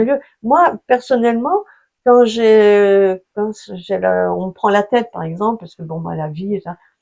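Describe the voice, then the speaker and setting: A woman's dark, mellow tone at medium pitch, fairly slow, with lively intonation and big swings in loudness. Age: 70s. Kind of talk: interview answer. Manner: hesitant, conversational.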